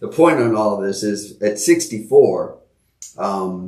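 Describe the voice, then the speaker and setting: There is audible room echo around this man's voice. He speaks at a fairly low pitch and a fairly slow pace. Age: 60s. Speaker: podcast co-host. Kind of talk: casual conversation. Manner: halting.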